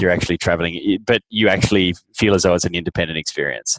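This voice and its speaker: An Australian accent, recorded dry and close with no echo. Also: man. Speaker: startup founder and CEO. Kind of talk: interview.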